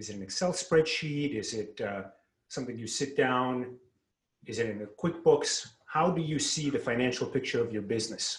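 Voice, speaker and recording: At a moderate speed, a man delivers his words with a somewhat breathy quality. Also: fairly high pitch for a man, ordinary pitch variation. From Russia. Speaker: salesperson. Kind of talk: sales pitch.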